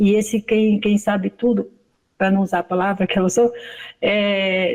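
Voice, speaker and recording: A woman with a plain, everyday voice talks fairly slowly at a medium pitch, keeping her intonation fairly even. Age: 60s. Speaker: study group participant. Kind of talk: testimony.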